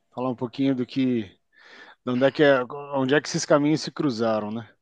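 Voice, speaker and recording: The recording sounds dry and close, with no echo and a quiet background. Pitch variation is ordinary. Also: man. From Curitiba, southern Brazil. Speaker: podcast co-host, civil servant. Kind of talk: casual chat.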